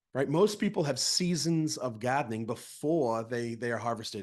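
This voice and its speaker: Against a quiet background, a man speaks with an American accent and an animated tone. His intonation is lively and his pace moderate. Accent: Boston accent, comes and goes. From Massachusetts (Plymouth, Boston area). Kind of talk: training presentation. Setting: video call (Zoom). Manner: animated, repetitive false starts.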